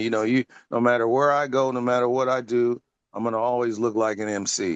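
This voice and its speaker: Over a quiet background, a man with an American accent talks fairly quickly at a medium pitch with fairly even intonation. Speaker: hip hop MC. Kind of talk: casual interview chat. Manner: speaks like radio promo, crafty phrasing.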